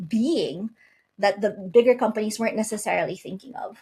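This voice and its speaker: At a moderate pace, a woman talks in a somewhat breathy, fairly high voice with ordinary pitch variation. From outside the US. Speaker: company founder and CEO. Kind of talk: podcast interview.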